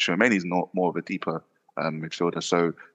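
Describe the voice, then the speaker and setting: A man's very deep, low voice with a bright, sharp tone and a South London accent, at a fairly quick pace over a quiet background. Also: dry, close sound with no echo. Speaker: football podcaster. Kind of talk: casual chat.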